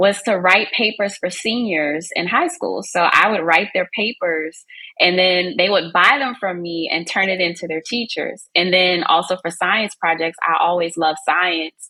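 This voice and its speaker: Speaking in a Southern US accent, a woman keeps a moderate pace at a medium pitch, with ordinary pitch variation and hardly any pauses. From US South. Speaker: business and content marketing coach. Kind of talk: podcast interview. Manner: talkative.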